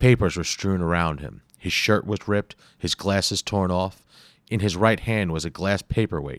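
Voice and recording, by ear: Text is read aloud in a natural voice.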